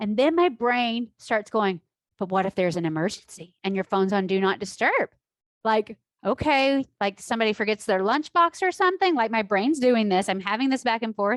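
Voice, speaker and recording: A woman talks in an animated tone with lively intonation. Her pace is fairly quick. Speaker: life coach. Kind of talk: online class. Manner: loud.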